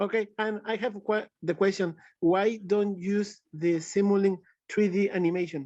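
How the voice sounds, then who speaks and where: A man speaks with a Spanish accent at a high pitch and a moderate pace. His intonation is fairly even, and the background is quiet. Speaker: audience member asking questions. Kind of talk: webinar Q&A. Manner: halting, searching for words.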